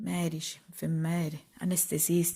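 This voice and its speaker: A woman with a Sicilian accent, solemn, somewhat breathy and dark, mellow in tone, at a fairly low pitch and fairly slow pace. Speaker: poet. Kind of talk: poetry reading. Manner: emotional, solemn.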